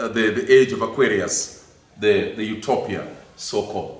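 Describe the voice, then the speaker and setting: In a room with audible echo, a man speaks very slowly with lively intonation. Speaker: lecturer on theology. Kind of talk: lecture.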